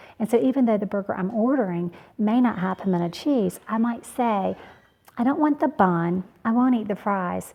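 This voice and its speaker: A woman's voice sounds somewhat breathy. Her pitch is medium, and it varies in an ordinary way. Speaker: cooking channel host. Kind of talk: casual tutorial.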